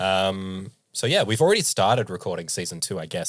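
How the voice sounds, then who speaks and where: A man talks in an Australian accent at a moderate pace. His pitch is fairly low. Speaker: podcast host and game master. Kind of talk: casual chat. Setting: remote call.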